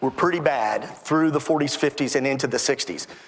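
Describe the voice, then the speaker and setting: With an American accent, the man's fairly high voice comes through noticeable background noise. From Texas (Temple). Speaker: author and historian. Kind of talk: interview.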